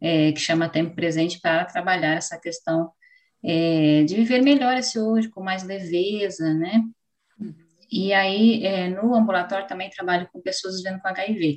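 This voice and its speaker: A woman's normal speaking voice, medium in pitch, with ordinary pitch variation, a moderate pace and big swings in loudness. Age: 30s. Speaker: psychologist. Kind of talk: interview.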